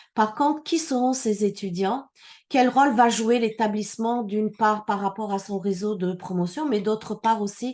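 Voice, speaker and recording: A woman with an unremarkable speaking voice talks at a medium pitch and a fairly slow pace, with ordinary pitch variation. The background is quiet. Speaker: immigration consultant. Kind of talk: conference talk.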